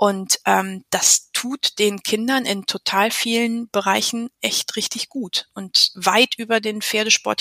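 A woman at a very slow pace with hardly any pauses, in a dry, close sound with no echo. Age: 40s. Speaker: riding instructor and coach educator. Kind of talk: interview.

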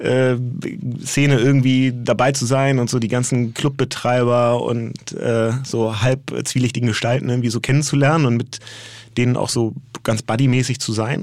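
His pitch is medium and his speed moderate. The man's intonation stays monotone and flat. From Hamburg, northern Germany. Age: 40s. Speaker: agency co-founder. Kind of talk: interview conversation. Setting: studio.

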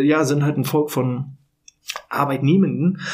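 An ordinary speaking voice from a fairly high-pitched man, at a moderate pace with fairly even intonation. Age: 30s. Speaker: podcast host on workplace health management. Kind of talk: solo podcast monologue. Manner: casual with filler words.

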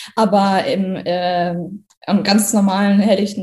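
Here is a woman whose voice is somewhat breathy. She speaks at a moderate pace. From Germany, Kassel (Hesse). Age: 30s. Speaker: trainee teacher. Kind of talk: testimony.

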